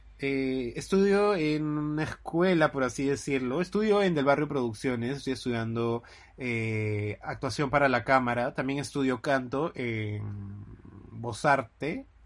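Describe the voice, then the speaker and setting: Over a quiet background, a man of medium pitch with a normal speaking voice talks at a fairly slow pace with ordinary pitch variation. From Lima, Peru. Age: 20s. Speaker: podcast co-host, actor. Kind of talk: casual chat.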